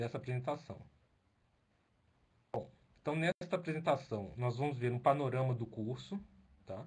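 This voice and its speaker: A man talks at a medium pitch with ordinary variation. His voice is somewhat breathy. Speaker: doctoral researcher and Italian lecturer. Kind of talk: lecture. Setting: video call. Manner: slow; halting.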